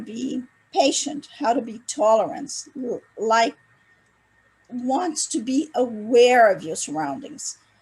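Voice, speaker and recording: A woman speaks at a high pitch with lively intonation. Her pace is very slow. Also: big swings in loudness. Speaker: event organizer. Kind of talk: presentation on video call. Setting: video call.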